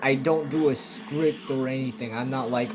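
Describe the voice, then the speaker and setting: A man at a moderate pace, with music in the background and audible room echo. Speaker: gaming streamer. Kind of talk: casual gameplay commentary. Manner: halting, filler-heavy.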